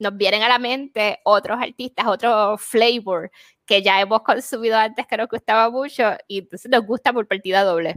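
Recorded dry and close with no echo, a woman with a plain, everyday voice speaks at a moderate pace, fairly high in pitch, with fairly even intonation. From Puerto Rico. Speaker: podcast co-host. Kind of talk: casual chat.

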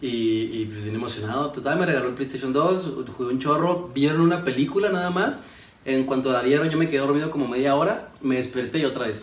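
A man with a fairly high pitch speaks at a fairly quick pace with ordinary pitch variation. Noticeable background noise and audible room echo are present. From Ciudad Juárez, Chihuahua, northern Mexico. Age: 20s. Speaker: engineering student and entrepreneur. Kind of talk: casual chat.

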